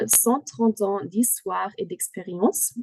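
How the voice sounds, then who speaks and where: Speaking very slowly in a German accent, a woman has a fairly high pitch and a dark, mellow tone. The sound is dry and close with no echo. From Germany. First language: German (speaking French). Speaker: company product manager. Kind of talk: product presentation. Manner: halting.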